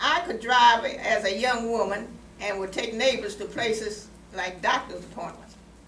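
Against light background noise and audible room echo, a woman with an American accent speaks at a moderate pace and fairly high pitch, using ordinary pitch variation. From West Virginia. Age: 80s+. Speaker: panelist, former community volunteer; panelist. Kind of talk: panel discussion, personal recollection. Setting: stage with audience, microphone. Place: meeting room. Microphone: camera far.

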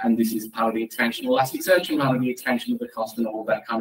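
A man speaks with fairly even intonation. His voice carries a slightly husky edge.

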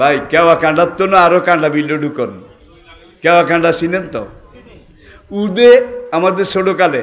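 This is a man talking. His pitch is high. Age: 80s+. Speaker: Islamic preacher. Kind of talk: sermon. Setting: live religious gathering. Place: stage. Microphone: podium.

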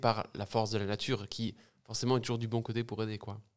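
A man with a medium pitch talks at a fairly quick pace with fairly even intonation. Behind him the background stays quiet. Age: 20s. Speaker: podcast guest. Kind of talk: casual chat. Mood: light, joking tone. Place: studio. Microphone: studio mic.

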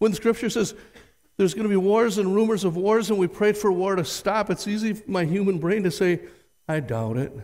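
At a fairly quick pace, a man with a high voice shows ordinary pitch variation against a quiet background. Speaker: pastor. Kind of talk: sermon. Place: church.

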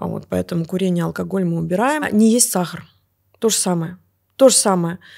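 Her medium-pitched voice has a dark, mellow tone, ordinary pitch variation and a moderate pace broken by long, frequent pauses. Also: very clean recording, silent background. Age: 40s. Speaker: natural rejuvenation coach. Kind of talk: interview. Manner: animated.

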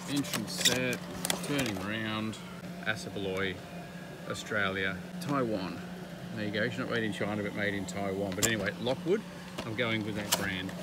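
Long, frequent pauses break up a man's moderate pace, his dry sound with no echo set against loud background noise. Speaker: homeowner reviewing locks. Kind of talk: casual vlog commentary. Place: shop. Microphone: phone near.

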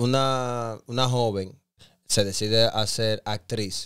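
In a Dominican accent, a man speaks at a very slow pace with medium pitch and ordinary pitch variation against a quiet background. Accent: typical Dominican, clipped words. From Dominican Republic. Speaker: podcast co-host. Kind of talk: casual interview chat. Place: studio. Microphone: studio mic.

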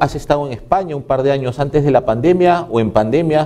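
A man with an unremarkable speaking voice, a fairly quick pace and lively intonation. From Peru. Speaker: TV host. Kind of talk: TV interview. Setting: studio. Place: studio.

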